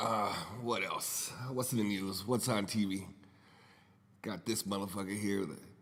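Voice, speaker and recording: A man's fairly low, fairly evenly intoned voice at a fairly slow pace, with long, frequent pauses and audible room echo. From US, raised in a Puerto Rican family. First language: Spanish. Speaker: podcast host. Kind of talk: casual monologue. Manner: rambling, conversational with fillers.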